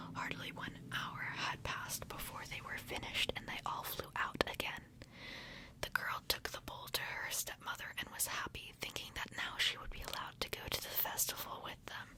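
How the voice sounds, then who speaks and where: A woman whispers at a moderate speed while background noise is clearly heard. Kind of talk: ASMR folktale reading. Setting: close USB podcast microphone. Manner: whispered, soft.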